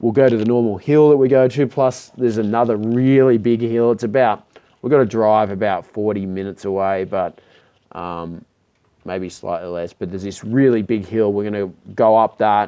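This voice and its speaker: At a moderate pace, a man talks with ordinary pitch variation. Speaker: electric skateboard builder and vendor. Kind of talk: Q&A video. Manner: casual, many fillers.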